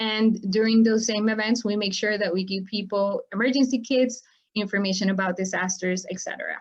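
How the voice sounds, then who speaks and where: A woman speaks at a fairly quick pace. Her voice is fairly high in pitch and somewhat breathy. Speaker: farmworker advocacy nonprofit director. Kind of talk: webinar presentation. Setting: online webinar.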